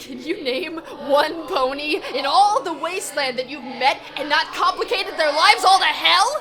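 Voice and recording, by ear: A woman's put-on character voice, high-pitched with a bright, sharp tone and lively intonation, at a fairly slow pace over faint background music.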